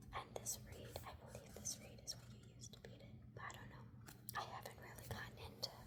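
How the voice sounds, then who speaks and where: A fairly quick whisper comes through noticeable background noise. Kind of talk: ASMR book reading to camera. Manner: soft-spoken, casual, explaining pictures.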